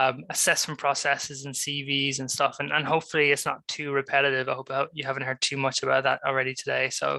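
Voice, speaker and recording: A man with an Irish accent speaks at a very fast pace with hardly any pauses, his fairly high pitch delivered in a flat monotone. His tone is bright and sharp, and the recording is very clean with a silent background. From Ireland. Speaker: graduate recruitment professional. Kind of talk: careers talk presentation.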